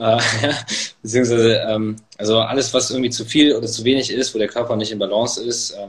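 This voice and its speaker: With an ordinary speaking voice, a man talks at a fairly quick pace and fairly even intonation. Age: 20s. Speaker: author and medical student. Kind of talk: casual interview. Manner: many filler words.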